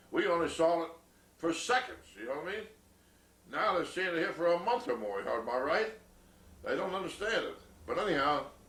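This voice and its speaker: A high-voiced man talks at a fairly quick pace with very wide pitch swings, yet leaves long, frequent pauses. Noticeable background noise and audible room echo fill the recording. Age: 80s+. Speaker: elderly grandfather interviewed about memories. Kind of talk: oral history interview. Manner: halting, many fillers and repeats.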